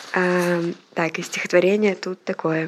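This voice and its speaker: Someone speaks very slowly against noticeable background noise. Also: woman. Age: 20s. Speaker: student journalist under house arrest. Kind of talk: audio diary. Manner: hesitant, many fillers.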